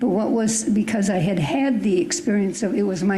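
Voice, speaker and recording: A woman's voice at medium pitch, with audible room echo and noticeable background noise. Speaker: church member. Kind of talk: group discussion.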